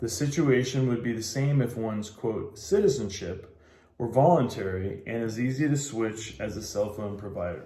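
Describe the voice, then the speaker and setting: This man has a medium pitch and a dark, mellow, somewhat breathy tone. He talks at a moderate pace with ordinary pitch variation. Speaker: amateur book reader. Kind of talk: reading aloud. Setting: in a bar. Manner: halting cold reading with stumbles.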